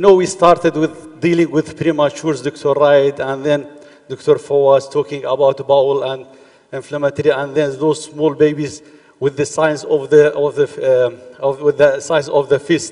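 The speaker holds a moderate pace in a monotone, flat intonation. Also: man. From Iraq (Duhok, north); Iraq. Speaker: pediatrics professor. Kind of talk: lecture. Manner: halting. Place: hall.

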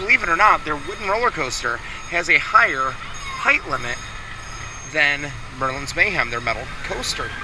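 At a moderate pace, a man talks over noticeable background noise. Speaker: family travel vlogger. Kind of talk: casual vlog commentary. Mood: nervous but amused. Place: open country. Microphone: phone near.

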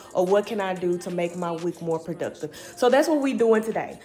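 A woman talks at a fairly quick pace. Light background noise can be heard. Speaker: home vlogger. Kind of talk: casual vlog chat. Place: home room. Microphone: phone near.

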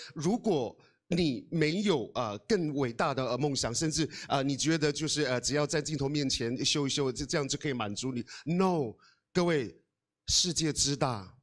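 A man with a fairly high voice and animated tone at a moderate pace, over a quiet background. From Taiwan, Amis village in Hualien; Taiwan. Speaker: guest. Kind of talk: motivational talk. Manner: hesitant, many fillers. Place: hall. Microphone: handheld.

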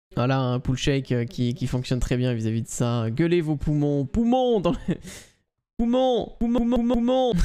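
Fairly high in pitch, this man's voice has a dark, mellow tone and very wide pitch swings, yet very even loudness. He talks at a moderate pace over a quiet background. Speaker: gaming streamer and esports caster; gaming streamer. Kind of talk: live esports commentary. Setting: live stream. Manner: animated. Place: home room. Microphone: studio mic.

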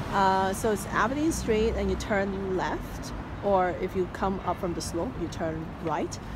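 Audible room echo and noticeable background noise surround the voice. It moves at a fairly slow pace with ordinary pitch variation. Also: woman. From Canada (Vancouver). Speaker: vlogger. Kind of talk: casual vlog.

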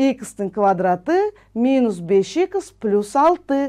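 A woman speaks with very wide pitch swings and a dark, mellow tone. The background is quiet. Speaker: math teacher. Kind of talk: lecture. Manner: slow.

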